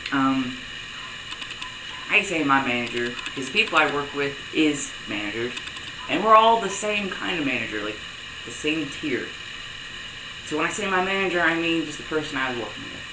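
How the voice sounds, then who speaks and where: With lively intonation and a fairly high pitch, a man speaks with long, frequent pauses amid noticeable background noise and audible room echo. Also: moderate pace. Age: young. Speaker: vlogger. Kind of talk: video diary. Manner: casual, conversational.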